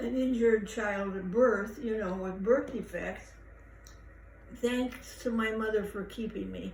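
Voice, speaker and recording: A woman's fairly high voice at a fairly slow pace, fairly even in intonation, with audible room echo and noticeable background noise. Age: 80s+. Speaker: elderly interviewee recounting life story. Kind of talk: casual interview. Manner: halting.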